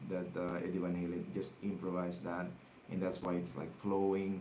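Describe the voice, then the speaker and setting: A man with a Filipino accent and a very deep, low pitch, at a moderate pace, with audible room echo. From Philippines. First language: Tagalog. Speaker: guitar teacher. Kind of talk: livestream guitar lesson, reading viewer comments. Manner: halting, many fillers and repetitions.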